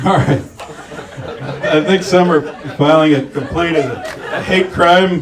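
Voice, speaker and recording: There is noticeable background noise behind this man. He has an American accent and ordinary pitch variation. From St. Petersburg, Florida. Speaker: stand-up comedian. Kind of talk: live stand-up comedy set.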